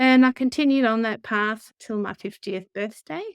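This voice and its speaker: On a very clean recording with a silent background and a dry, close sound with no echo, a woman with an Australian accent speaks at a moderate pace with ordinary pitch variation. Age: 50s. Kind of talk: interview answer.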